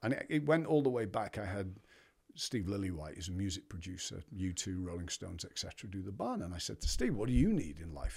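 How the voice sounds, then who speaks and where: A man with a fairly low pitch and a somewhat breathy voice talks at a fairly quick pace in an English accent, his intonation lively over a very clean recording with a silent background. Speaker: brand leader and retreat founder. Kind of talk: casual interview conversation.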